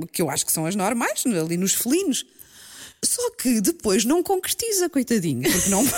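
Animated and fairly high-pitched, a woman's voice makes very wide pitch swings in a European Portuguese accent. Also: moderate pace. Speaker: podcast co-host. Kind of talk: casual chat.

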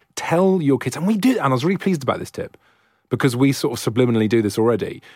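Lively intonation marks this man's speech in a Welsh accent, captured in a very clean recording with a silent background. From Wales. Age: 30s. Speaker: podcast host. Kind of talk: interview.

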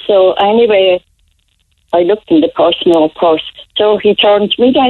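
A woman with a Cork accent at a moderate pace. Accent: Cork Irish. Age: 80s+. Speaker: elderly caller. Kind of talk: phone-in chat.

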